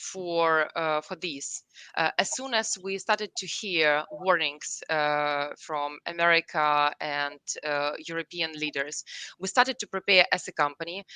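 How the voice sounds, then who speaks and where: In a Russian accent, a woman speaks at a fairly slow pace with a bright, sharp tone in a dry, close recording with no echo. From Ukraine, Kyiv. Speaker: company CEO. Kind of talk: interview. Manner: halting, many fillers.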